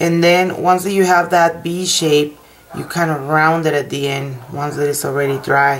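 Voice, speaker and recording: A woman's fairly low voice with a non-native accent, at a fairly slow pace with ordinary pitch variation, over noticeable background noise. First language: not English. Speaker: nail technician. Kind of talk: tutorial. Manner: halting.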